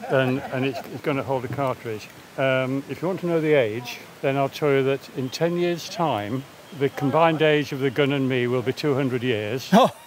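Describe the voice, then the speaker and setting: A man's medium-pitched voice at a moderate pace, fairly even intonation and noticeable background noise. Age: 70s. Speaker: shooter. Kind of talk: casual explanation. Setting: outdoors.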